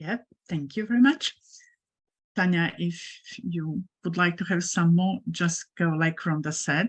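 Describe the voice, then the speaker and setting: Somewhat breathy speech moves at a fairly slow pace with lively intonation over a quiet background. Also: woman. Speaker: webinar moderator. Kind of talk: webinar moderation.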